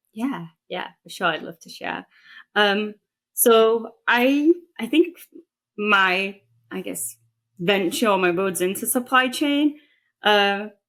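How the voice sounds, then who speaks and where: Speaking very slowly with long, frequent pauses, a woman with an English accent uses lively intonation and big swings in loudness. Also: fairly high pitch for a woman, very clean recording, silent background. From England. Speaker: chief operating officer. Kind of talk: podcast interview.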